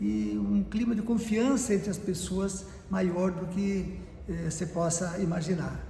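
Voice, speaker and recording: Over noticeable background noise and audible room echo, a man with a high pitch speaks at a fairly slow pace with lively intonation. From São Paulo state, Brazil (Sousas, Campinas area; raised in Valinhos). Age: 70s. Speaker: retired business administrator and lawyer. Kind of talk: oral history interview.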